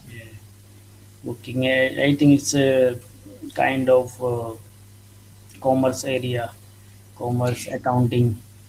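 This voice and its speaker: A man with a medium pitch speaks at a very slow pace with long, frequent pauses and monotone, flat intonation. His loudness swings widely, and noticeable background noise is present. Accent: Indian. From northwest India. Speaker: English learner. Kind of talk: casual conversation practice. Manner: halting.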